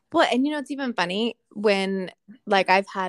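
An animated woman with lively intonation at a moderate pace, the sound dry and close with no echo, on a very clean recording with a silent background. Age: 30s. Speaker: podcast co-host. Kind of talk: casual chat. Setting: at home in living room.

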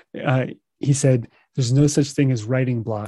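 Dry and close with no echo, a man's medium-pitched, dark, mellow voice comes through somewhat breathy, with fairly even intonation at a moderate pace. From US, child of Russian-speaking immigrants. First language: Russian. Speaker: meditation teacher and podcaster. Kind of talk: solo podcast monologue. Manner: laughs often at himself.

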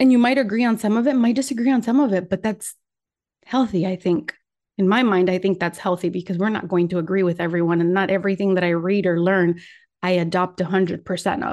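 A woman talks at a very fast pace with a Spanish accent, her pitch medium. Her pitch variation is ordinary, and the background is quiet. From Puerto Rico, raised in Michigan from age nine. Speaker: podcast host. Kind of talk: solo monologue podcast. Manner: casual with pauses and laughs.

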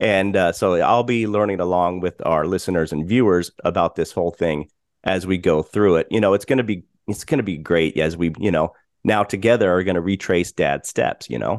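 In an American accent, a man with a very deep, low pitch speaks at a fairly quick pace with ordinary pitch variation, recorded dry and close with no echo against a quiet background. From Colorado, US. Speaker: podcast host. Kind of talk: casual chat.

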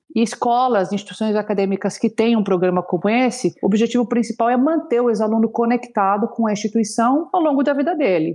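The woman's voice has a dark, mellow tone and a fairly high pitch, with ordinary pitch variation. She talks at a fairly quick pace with very even loudness and hardly any pauses. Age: 30s. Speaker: alumni relations leader. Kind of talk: interview conversation. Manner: animated.

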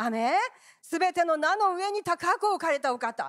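This woman's voice sits high and swings very widely in pitch at a moderate pace. The sound is dry and close, without echo. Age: 70s. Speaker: pastor. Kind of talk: sermon. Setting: church. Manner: animated.

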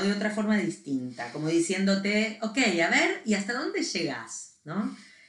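The voice moves at a fairly slow pace with very wide pitch swings. Noticeable background noise and audible room echo are present. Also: woman. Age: 50s. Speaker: podcast co-host. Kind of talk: casual chat.

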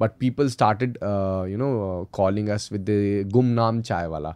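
The background is quiet. A man talks fairly slowly. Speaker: entrepreneur, cafe chain founder. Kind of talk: podcast interview, telling his business story. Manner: halting, hesitant, many fillers.

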